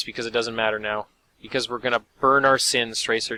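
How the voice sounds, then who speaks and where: A man growls through a put-on character voice at a medium pitch, flat and monotone. He talks fairly quickly, the sound dry and close with no echo. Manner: snarling, spitting the words.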